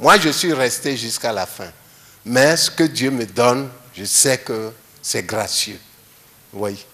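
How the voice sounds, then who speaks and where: Talking at a very slow pace with long, frequent pauses, a man at medium pitch uses lively intonation and big swings in loudness. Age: 70s. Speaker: retired teacher and musician. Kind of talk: interview.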